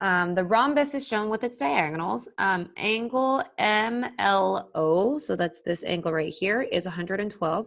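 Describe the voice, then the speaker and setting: With an unremarkable speaking voice, a woman talks at a fairly slow pace in a medium pitch, her intonation lively and hardly any pauses between words. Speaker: math teacher. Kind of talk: tutorial.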